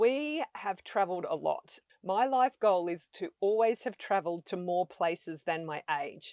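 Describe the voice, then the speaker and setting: Lively intonation marks this woman's medium-pitched voice, which has an Australian accent and a fairly slow pace. The recording is very clean, with a silent background. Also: dry, close sound with no echo. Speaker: van-life traveler. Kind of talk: podcast interview.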